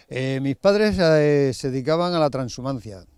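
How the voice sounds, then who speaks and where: A man's fairly high voice, a normal speaking voice, with ordinary pitch variation and a dry, close sound with no echo. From Spain, Extremadura (Cáceres, Valle del Ambroz). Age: 50s. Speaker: farmer. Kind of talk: interview.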